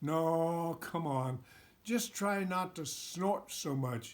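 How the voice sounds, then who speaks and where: A man uses a put-on character voice pitched high and speaks at a very slow pace. The recording is very clean with a silent background. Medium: read story. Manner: curt, impatient.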